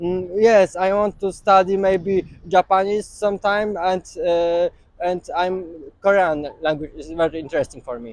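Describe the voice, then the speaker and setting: A man with a Polish accent speaks in a high pitch at a fairly slow pace. His loudness swings widely, while his pitch variation is ordinary. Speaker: street interviewee. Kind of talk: street interview. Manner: halting.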